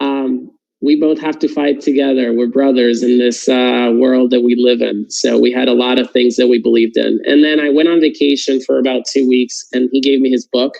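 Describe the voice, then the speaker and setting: With a Puerto Rican accent, a man speaks at a moderate pace and medium pitch, monotone and flat, very even in loudness, with hardly any pauses. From Puerto Rico. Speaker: political candidate. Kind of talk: testimony. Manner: halting, many fillers.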